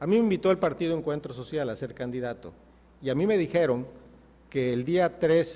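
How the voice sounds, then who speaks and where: Lively in intonation, a man's dark, mellow voice moves at a fairly quick pace. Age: 60s. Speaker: mayoral candidate, politician. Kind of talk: TV interview. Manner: emphatic, passionate.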